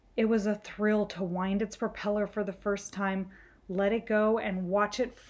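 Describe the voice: Fairly even intonation in plain reading aloud.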